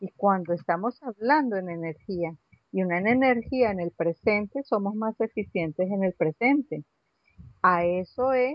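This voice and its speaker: A woman speaks at a medium pitch in an unremarkable speaking voice. Her intonation is lively and her pace fairly slow. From Venezuela (Caracas), Colombian family. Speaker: astrologer and spiritual therapist. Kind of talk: casual interview.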